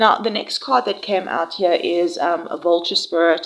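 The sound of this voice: A woman's nasal voice, fairly low in pitch, with a fairly bright tone and a fairly slow pace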